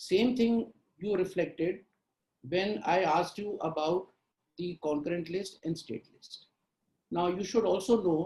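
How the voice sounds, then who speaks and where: A man speaks with a high pitch and a dark, mellow tone. He keeps a fairly slow pace. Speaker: mock interview board member. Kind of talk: interview feedback. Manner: formal.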